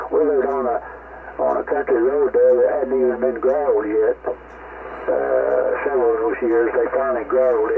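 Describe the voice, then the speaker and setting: Someone speaks with an American accent at a moderate pace. Noticeable background noise runs underneath. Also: man. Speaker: ham radio operator. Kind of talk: casual chat. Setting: ham radio contact.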